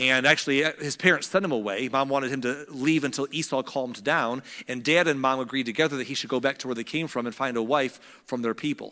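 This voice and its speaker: Talking very fast, a man uses a bright, sharp tone at a medium pitch with fairly even intonation. The recording is very clean, with a silent background. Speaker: pastor. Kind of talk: sermon.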